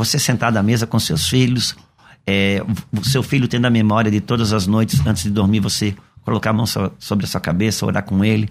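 At a moderate pace, the speaker uses an unremarkable speaking voice with fairly even intonation. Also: man. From Brazil, Santa Catarina (Itajaí). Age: 50s. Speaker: pastor. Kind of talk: radio interview. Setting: radio studio.

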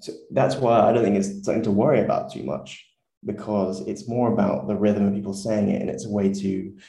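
Talking at a fairly quick pace, a man with a southern English accent uses lively intonation at a fairly low pitch. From southern England. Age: 20s. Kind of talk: casual interview. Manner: fluent, hesitant with repeats.

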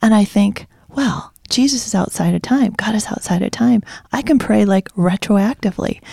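A woman with an American accent, fairly high pitch, ordinary pitch variation and a moderate pace, in a dry, close sound with no echo. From Zeeland, western Michigan, US Midwest. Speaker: worship leader's wife. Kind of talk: casual Bible discussion. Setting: studio.

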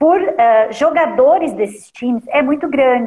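A woman's fairly slow speech with very wide pitch swings. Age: 40s. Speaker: lawyer hosting a live stream interview. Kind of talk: live stream interview.

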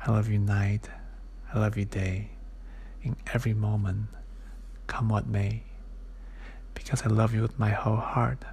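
A man speaks in a gentle tone at very even loudness, with long, frequent pauses. Noticeable background noise can be heard. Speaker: podcast host reading a picture book aloud. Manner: slow, gentle, soft-spoken, unhurried, tender and sing-song; casual and halting with fillers in the intro.

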